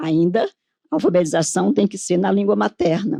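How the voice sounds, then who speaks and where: Dry and close with no echo, a woman's dark, mellow voice moves at a moderate pace with lively intonation. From Northeast Brazil. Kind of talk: conference panel talk.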